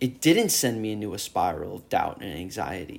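Here a man speaks at a moderate pace. His voice has vocal fry. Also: very clean recording, silent background. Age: 20s. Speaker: solo podcaster, fitness enthusiast. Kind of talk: casual monologue. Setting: at home on the couch. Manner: animated.

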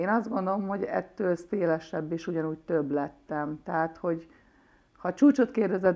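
The woman uses a normal speaking voice, keeping a moderate pace and ordinary pitch variation. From Hungary, Nagykanizsa. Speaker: former handball player. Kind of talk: interview.

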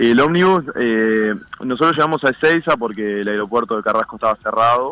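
A bright, sharp tone at a fairly quick pace with ordinary pitch variation. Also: man, medium pitch for a man. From Uruguay, Canelones. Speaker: handball goalkeeper. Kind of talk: interview.

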